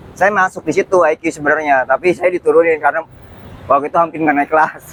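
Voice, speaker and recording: The man's voice is fairly high-pitched and dry and close with no echo. He talks at a very fast pace with very even loudness and fairly even intonation. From Jakarta, Betawi. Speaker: writer. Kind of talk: casual interview chat.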